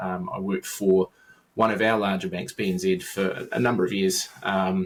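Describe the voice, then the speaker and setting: A man with a New Zealand accent talks in a fairly low voice, his intonation flat and monotone. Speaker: IT consultant, former enterprise architect. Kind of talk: podcast interview. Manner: halting, many fillers and repetitions.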